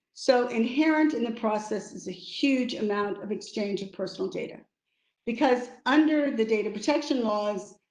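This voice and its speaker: Audible room echo surrounds a woman with an American accent. She talks at a moderate pace with a fairly high pitch and ordinary pitch variation. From United States. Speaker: lawyer and arbitrator. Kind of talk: webinar talk.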